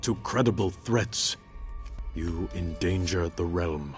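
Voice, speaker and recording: A man uses a put-on character voice with a very deep, low pitch and lively intonation. He goes at a fairly slow pace with clear music in the background. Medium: short film. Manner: measured, formal.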